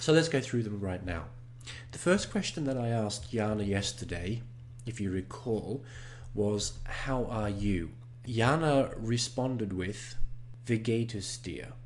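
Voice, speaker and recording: Speaking with a non-native accent, a man with a medium pitch and a somewhat breathy voice talks at a fairly slow pace with ordinary pitch variation, in audible room echo. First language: not German. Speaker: online German course host. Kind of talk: tutorial. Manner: slow, deliberate with repeated phrases.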